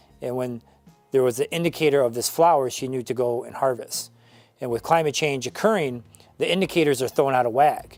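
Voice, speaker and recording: With music playing in the background, a man with an American accent talks at a fairly quick pace, his loudness swinging widely. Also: medium pitch for a man, ordinary pitch variation. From Northern Michigan, USA. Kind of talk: interview answer.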